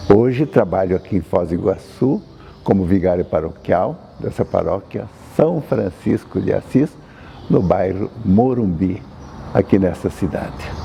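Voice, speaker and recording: A man's fairly low voice at a fairly slow pace, with noticeable background noise. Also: lively intonation. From Brazil, Paraná (north). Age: 80s+. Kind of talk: testimony.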